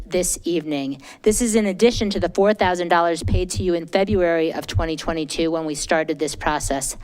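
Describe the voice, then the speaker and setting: Over music in the background, a woman speaks fairly quickly at a medium pitch with ordinary pitch variation. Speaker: citizen commenter at public meeting. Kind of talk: public comment statement. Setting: council meeting at a microphone. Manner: fast.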